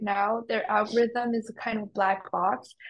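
At a fairly slow pace, a woman speaks with a Mandarin accent. Her pitch is fairly high. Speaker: podcast host. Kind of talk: interview.

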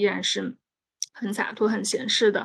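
A plain, everyday voice from a woman, medium in pitch, at a moderate pace. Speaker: podcast host. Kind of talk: casual chat.

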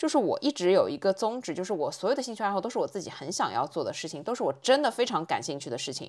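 The recording is very clean, with a silent background. The speaker talks at a very fast pace with hardly any pauses, vocal fry and very wide pitch swings. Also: woman, fairly high pitch for a woman. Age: 30s. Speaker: podcast host. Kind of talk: casual monologue. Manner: conversational.

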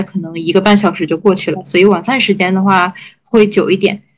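Talking at a very fast clip, a woman keeps a monotone, flat intonation at a medium pitch. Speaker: podcast co-host, PhD student. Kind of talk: casual chat.

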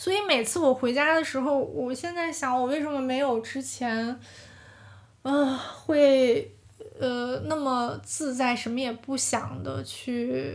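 A woman talks very slowly in a high pitch with a slight northeastern Chinese accent and ordinary pitch variation. Room echo is audible. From Heilongjiang, northeast China (county near Harbin). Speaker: podcast host. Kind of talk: casual monologue. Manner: relaxed, meandering.

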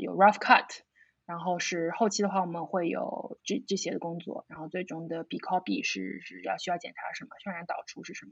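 A woman at a medium pitch and a moderate pace. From Shanghai, China. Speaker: video brand founder. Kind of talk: casual interview. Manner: halting with fillers.

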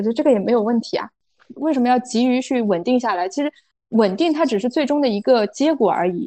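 A woman speaks at a very fast pace in a high voice with a dark, mellow tone and lively intonation. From rural China. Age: 30s. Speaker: foreign trade entrepreneur. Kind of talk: interview.

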